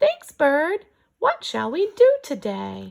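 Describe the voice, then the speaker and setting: A woman speaks very slowly in a put-on character voice. Her pitch sits high. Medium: read story.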